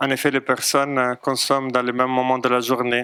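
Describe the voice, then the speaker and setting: In a dry, close sound with no echo, a medium-pitched man with a non-native accent speaks in a flat monotone. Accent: foreign accent in French. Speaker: psychologist. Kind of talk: lecture. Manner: hesitant, frequent fillers.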